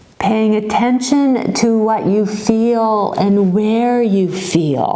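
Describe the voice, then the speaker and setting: A woman speaks at a very slow pace in a calm, soothing tone, her pitch fairly high, with noticeable background noise. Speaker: yoga instructor. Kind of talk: guided yoga class instruction. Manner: calm, slow, soothing.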